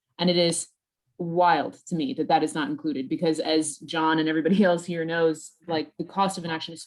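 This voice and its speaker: With an American accent, a woman speaks at a moderate pace. Her pitch is fairly low. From United States. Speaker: news editor. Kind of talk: roundtable discussion.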